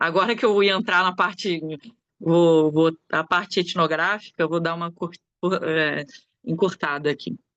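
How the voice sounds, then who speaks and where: A woman speaks at a fairly slow pace. Her voice is fairly low, with ordinary pitch variation. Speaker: anthropologist and researcher. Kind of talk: academic conference talk. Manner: hesitant, many filler sounds.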